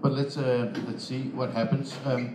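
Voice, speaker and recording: A man with a Danish accent at a moderate pace, with audible room echo and noticeable background noise. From Denmark. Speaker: software developer. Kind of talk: conference talk. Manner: halting, many fillers.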